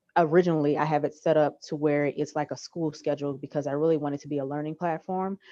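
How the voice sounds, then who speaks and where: Rushing along at a very fast pace with hardly any pauses, a woman speaks in a very deep, low pitch with a dark, mellow tone and monotone, flat intonation. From New Orleans, US South. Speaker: former teacher, history content creator. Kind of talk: casual Q&A in online workshop.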